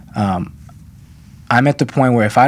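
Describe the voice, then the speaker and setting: A man talks with ordinary pitch variation. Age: 20s. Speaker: actor. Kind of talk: casual chat. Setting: studio. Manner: halting.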